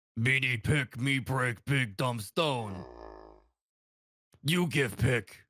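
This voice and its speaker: In a raspy, put-on character voice, the speaker goes very slowly, leaving long, frequent pauses. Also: man, medium pitch for a man. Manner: dumb, gruff, broken speech.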